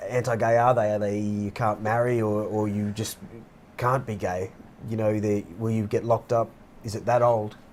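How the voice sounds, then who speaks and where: With an Australian accent, a man speaks at a moderate pace and a fairly low pitch. His intonation is monotone and flat. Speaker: podcast co-host. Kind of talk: casual discussion. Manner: halting.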